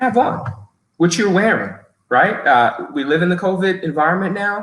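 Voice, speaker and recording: With lively intonation and big swings in loudness, a man speaks at a high pitch and a moderate pace. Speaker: human resources professional. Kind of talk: webinar talk giving interview tips. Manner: frequent fillers and repetitions.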